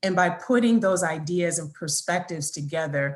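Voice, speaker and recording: This woman's somewhat breathy voice sits fairly low in pitch. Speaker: account manager presenting at webinar. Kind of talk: webinar presentation. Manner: fast.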